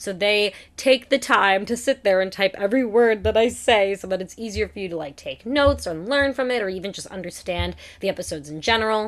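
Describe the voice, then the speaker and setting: Against a quiet background, a woman speaks at a fairly quick pace and a medium pitch with ordinary pitch variation. Her loudness swings widely. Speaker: podcast host. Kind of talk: solo podcast talk. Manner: fast; casual, chatty.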